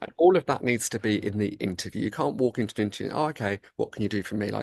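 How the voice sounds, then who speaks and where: A man with a London accent talks at a very fast pace with lively intonation and a medium pitch. The sound is dry and close with no echo, against a quiet background. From England, London. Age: 30s. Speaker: salon owner and author. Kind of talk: interview conversation.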